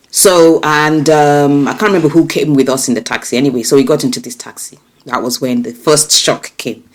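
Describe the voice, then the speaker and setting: A woman with a very deep, low voice talks at a fairly quick pace with hardly any pauses, ordinary pitch variation and big swings in loudness. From UK, then Nigeria from age eleven. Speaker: strategy consultant and coach. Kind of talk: casual interview. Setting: podcast.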